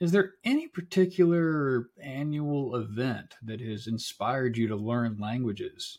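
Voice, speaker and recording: With an American accent and a normal speaking voice, a man of medium pitch speaks at a fairly slow pace and with lively intonation. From South Carolina (Florence). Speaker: podcast host. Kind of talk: casual chat.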